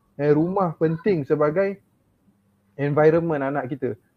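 A fairly high-pitched man at a moderate pace with ordinary pitch variation. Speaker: religious teacher and parent panelist. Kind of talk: panel discussion.

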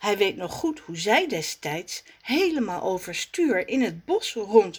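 The speaker reads in an unforced reading voice.

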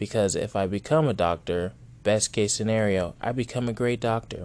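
In a normal speaking voice, a man talks at a moderate pace, fairly low in pitch with ordinary pitch variation. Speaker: podcast host. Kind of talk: casual profane rant-style monologue. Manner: rambling, digressive, self-interrupting; blunt, sarcastic, heated, angrily ranting with swearing.

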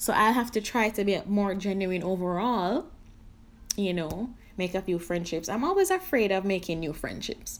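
A woman's ordinary speaking voice at medium pitch and a moderate pace, with ordinary pitch variation. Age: 30s. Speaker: podcast host. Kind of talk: casual solo podcast monologue.

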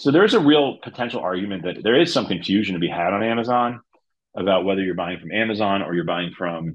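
A man's fairly low voice with a New Jersey accent, ordinary pitch variation, and a very fast pace. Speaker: e-commerce lawyer. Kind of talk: interview.

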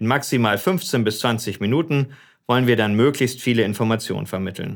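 A man with an ordinary speaking voice, medium pitch, ordinary pitch variation and a moderate pace on a very clean recording with a silent background. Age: 40s. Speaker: politician and podcast host. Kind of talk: casual interview.

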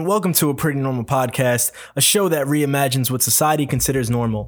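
A man with a fairly high pitch talks at a very fast pace with hardly any pauses. His loudness stays very even. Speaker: podcast host. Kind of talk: casual interview.

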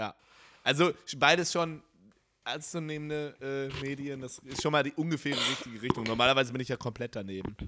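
Fairly quick and fairly high pitched, a man speaks in a bright, sharp tone with ordinary pitch variation. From North Rhine-Westphalia. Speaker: podcast host. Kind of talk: casual chat.

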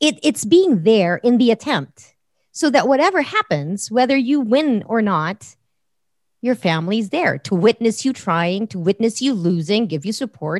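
Over a quiet background, a woman's voice swings very widely in pitch at a fairly slow pace, the sound dry and close with no echo. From Philippines. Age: 40s. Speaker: radio host. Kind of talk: casual chat.

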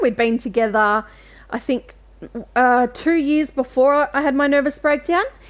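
With an Australian accent, a woman speaks at a fairly slow pace in a high pitch with ordinary variation. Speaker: writer and mental health advocate. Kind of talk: interview.

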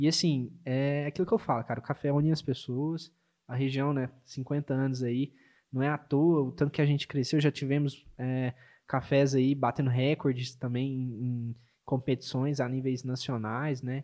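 A man speaks at a moderate pace with a dark, mellow tone and medium pitch. His intonation is monotone and flat, over a quiet background. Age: 20s. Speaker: barista and café manager. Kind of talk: casual chat with brewing demonstration. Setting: studio.

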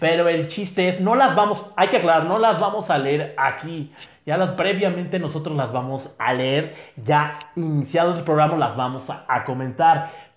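A man speaks at a moderate pace with a high pitch and ordinary pitch variation. Noticeable background noise and audible room echo surround him. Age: 30s. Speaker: podcast host. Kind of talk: casual chat.

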